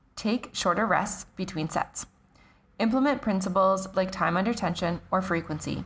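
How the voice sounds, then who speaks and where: Somewhat breathy, the speech moves at a fairly quick pace with ordinary pitch variation, in a Canadian accent. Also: woman. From Canada. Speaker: fitness coach and podcast host. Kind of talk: solo podcast monologue.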